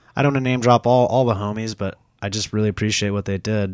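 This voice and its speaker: In a very clean recording with a silent background and a dry, close sound with no echo, a man with an American accent uses a normal speaking voice at a fairly low pitch and fairly quick pace. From Florida, Dunedin. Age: 30s. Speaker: paratrooper and WWII reenactor. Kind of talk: casual chat. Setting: studio.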